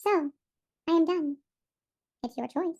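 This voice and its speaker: Squeaky and extremely high-pitched, this is a put-on character voice. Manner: ominous, booming.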